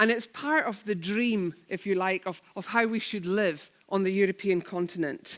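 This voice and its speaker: A woman with a Scottish accent talks with hardly any pauses on a very clean recording with a silent background. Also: medium pitch for a woman, ordinary pitch variation, moderate pace. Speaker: head of a church-based charity network. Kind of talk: conference keynote talk. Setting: stage with audience and sign language interpreters.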